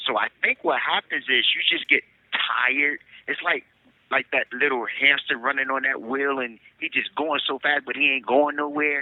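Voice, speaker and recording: Noticeable background noise accompanies a man speaking at a moderate pace, his pitch fairly high and his intonation monotone and flat. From US Northeast, Newark New Jersey. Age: 50s. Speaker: incarcerated man. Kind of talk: podcast interview. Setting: phone call.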